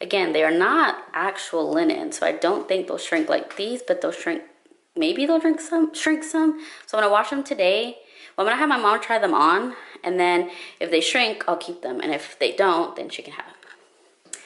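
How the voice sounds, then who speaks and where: Talking at a moderate pace, a woman makes very wide pitch swings and big swings in loudness. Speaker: style vlogger. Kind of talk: casual vlog chat. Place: home room. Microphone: phone near.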